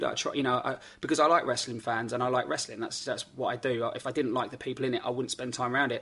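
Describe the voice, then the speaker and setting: Over a quiet background, a man with an English accent speaks at a very fast pace in a medium pitch with a monotone, flat intonation. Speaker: wrestling promoter. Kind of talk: radio interview. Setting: office.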